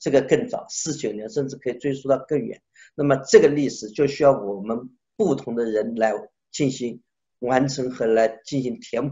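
A somewhat breathy man's voice at a medium pitch and moderate pace, with ordinary pitch variation. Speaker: sculptor. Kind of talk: interview. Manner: animated.

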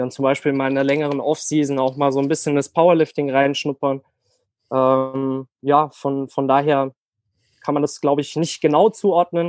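Speaking at a moderate pace, a man with a fairly high pitch keeps a monotone, flat intonation, and the sound is dry and close with no echo. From Germany, near Frankfurt. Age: 20s. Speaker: online fitness coach. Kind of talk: casual chat.

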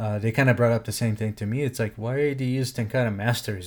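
With a Portuguese accent, a man speaks at medium pitch with fairly even intonation. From Brazil. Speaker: podcast host. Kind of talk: personal statement on current events; casual interview chat.

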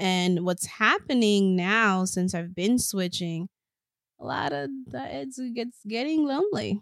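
A woman at medium pitch, fairly slow in pace with lively intonation, in a very clean recording with a silent background. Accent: Spanish. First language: Spanish. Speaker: podcast co-host. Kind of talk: casual chat.

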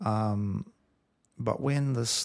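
Lively intonation marks this man's somewhat breathy, medium-pitched voice. The recording is very clean, with a silent background. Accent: New Zealand. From New Zealand. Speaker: musician. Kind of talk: interview.

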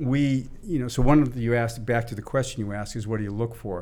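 Audible room echo carries a very fast voice with an American accent and fairly even intonation. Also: man. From US Northeast, Boston area. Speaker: venture capitalist. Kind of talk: interview conversation.

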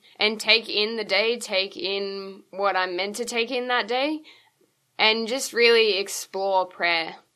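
A woman with an Australian accent speaks very slowly in a bright, sharp tone against a quiet background. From Queensland, Australia. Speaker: lay missionary. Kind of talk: interview testimony.

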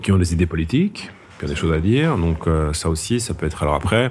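A man talks at a fairly quick pace with ordinary pitch variation. There's noticeable background noise. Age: 50s. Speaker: head of a national image promotion agency. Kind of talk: interview. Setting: café.

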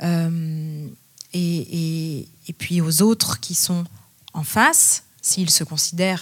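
The speaker is a woman with a somewhat breathy voice. Her pitch sits fairly low. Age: 30s. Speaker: music teacher and researcher. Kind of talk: panel discussion. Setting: stage with audience.

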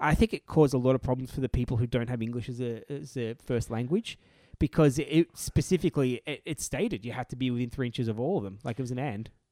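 Very fast speech from a man at medium pitch, ordinary pitch variation, a dark, mellow tone, and a dry, close sound with no echo. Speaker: tabletop wargaming podcast host. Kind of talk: casual chat.

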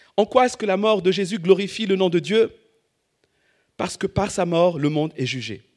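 A man speaks at a moderate pace with a high pitch and ordinary pitch variation, leaving long, frequent pauses. The recording is very clean, with a silent background. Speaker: preacher. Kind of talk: sermon.

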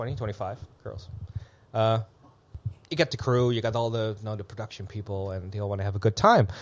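Fairly low, somewhat breathy male speech at a fairly quick pace, fairly even in intonation, with long, frequent pauses. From Netherlands. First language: Dutch. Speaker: events entrepreneur living in Bangkok. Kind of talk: casual chat.

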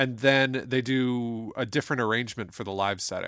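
A man with an American accent speaks at a medium pitch on a very clean recording with a silent background. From Toledo, Ohio, US Midwest. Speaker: music professor and podcast host. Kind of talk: casual chat about music.

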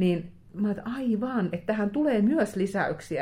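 Lively intonation from a somewhat breathy woman at medium pitch and a moderate pace. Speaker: crime novelist. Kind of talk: casual interview chat. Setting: hotel room.

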